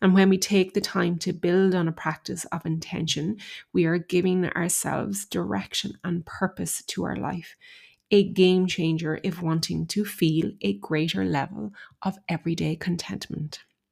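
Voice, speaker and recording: A woman's fairly low voice at a moderate pace with ordinary pitch variation, an ordinary speaking voice. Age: 40s. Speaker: podcast host. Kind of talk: solo monologue podcast.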